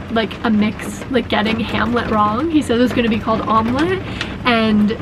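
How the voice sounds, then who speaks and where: A woman talks at a fairly high pitch, with background noise noticeable behind her. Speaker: vlogger living in a bus. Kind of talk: casual vlog talk to camera. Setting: inside a bus during a thunderstorm. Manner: fast.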